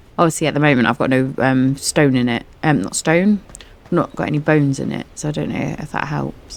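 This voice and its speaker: A woman with an English accent speaks in a very deep, low voice with ordinary pitch variation over noticeable background noise. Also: fairly quick pace. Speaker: gaming streamer. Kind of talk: gameplay commentary. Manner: casual, rambling; quiet, softened voice.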